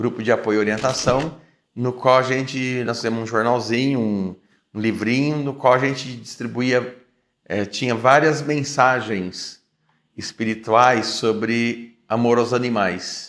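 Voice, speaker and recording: A man speaks in a plain, everyday voice at medium pitch. His delivery is fairly slow, with fairly even intonation. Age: 60s. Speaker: vegetarian activist. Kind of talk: interview testimony.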